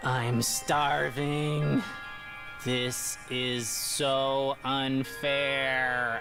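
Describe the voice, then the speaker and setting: A put-on character voice at a low-to-middle pitch and a very slow pace, over loud music in the background. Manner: flat, robotic.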